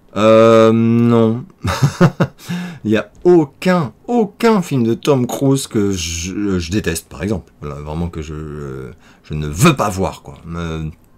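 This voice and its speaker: Speaking at a very slow pace, a man with a fairly low pitch makes very wide pitch swings and big swings in loudness over noticeable background noise. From France, Paris. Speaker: YouTuber answering viewer questions. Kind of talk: casual Q&A vlog. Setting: home office. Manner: hesitant with many fillers.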